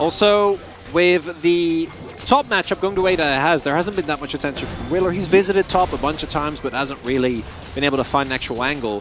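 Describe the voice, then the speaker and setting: A man's fairly high voice, very fast, with ordinary pitch variation and noticeable background noise. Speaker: esports commentator. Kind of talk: live commentary.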